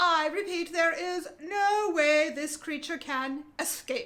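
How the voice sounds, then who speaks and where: A woman does a put-on character voice, squeaky and at an extremely high pitch. She delivers it at a fairly slow pace. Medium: read story.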